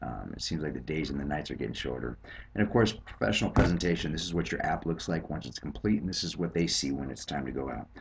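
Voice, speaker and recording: With lively intonation, a man with a very deep, low pitch speaks at a very fast pace. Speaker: sales team leader. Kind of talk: screencast sales presentation. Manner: hesitant, many fillers.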